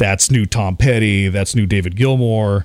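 A fairly low-pitched man with a Midwestern US accent at a fairly slow pace, on a very clean recording with a silent background. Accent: US Midwest. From Nebraska. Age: 40s. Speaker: radio DJ. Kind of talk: casual chat.

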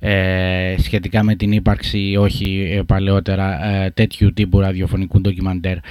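Very deep and low, a man's voice stays monotone and flat at a fairly slow pace. He hardly pauses, and the recording is very clean with a silent background. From Greece, Sparta and Corfu. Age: 30s. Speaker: podcast host. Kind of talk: interview conversation.

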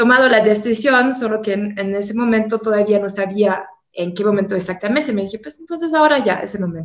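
A woman with a fairly high pitch talks at a moderate pace, using ordinary pitch variation. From Germany. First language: German (speaking Spanish). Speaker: tour guide. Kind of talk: casual chat.

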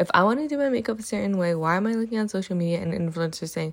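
A woman with an ordinary speaking voice, medium pitch and ordinary pitch variation, on a very clean recording with a silent background. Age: 20s. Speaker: podcast host and university student. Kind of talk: solo podcast monologue.

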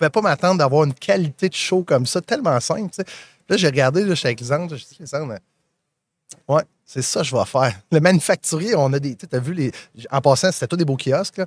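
A man speaks at a fairly quick pace, his fairly high voice full of lively intonation and long, frequent pauses. The recording is very clean with a silent background, dry and close with no echo. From Magdalen Islands, Quebec. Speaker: podcast host. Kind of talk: live interview. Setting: live event booth.

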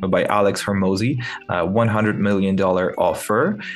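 Audible room echo surrounds a man speaking with a Ukrainian accent. His pitch sits fairly low, and his intonation stays fairly even. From Ukraine. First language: Ukrainian or Russian. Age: 20s. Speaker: entrepreneur. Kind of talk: interview. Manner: hesitant with fillers.

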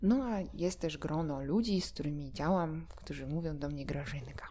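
A woman speaks with a very deep, low pitch and a dark, mellow tone. Vocal fry runs through her voice. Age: 20s. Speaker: dog trainer and podcaster. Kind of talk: solo monologue podcast. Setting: at home. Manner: hesitant, with repeated words.

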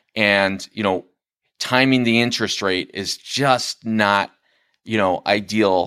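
Speaking very slowly, a man with a fairly low, bright and sharp voice keeps his intonation fairly even, recorded dry and close with no echo in a very clean, silent setting. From US Midwest, Chicago southwest suburbs. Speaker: realtor. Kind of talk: casual interview. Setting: studio.

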